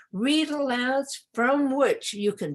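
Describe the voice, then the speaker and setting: A woman with a Cantonese accent speaks at a very slow pace. Her pitch swings very widely over a quiet background. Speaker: literacy expert presenter. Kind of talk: webinar presentation. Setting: online webinar. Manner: halting, with repetitions.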